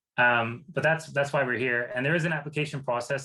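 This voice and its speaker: Speaking with a Canadian accent, a man uses a bright, sharp tone, medium pitch and fairly even intonation at a fairly quick pace. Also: quiet background. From Canada. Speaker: grant fund partnerships manager. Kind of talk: online presentation.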